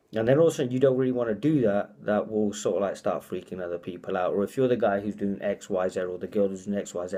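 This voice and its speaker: Very fast and with a British accent, a man talks in a fairly low, dark, mellow tone with ordinary pitch variation. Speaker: motivational speaker. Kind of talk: casual vlog monologue. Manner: halting, repeats words.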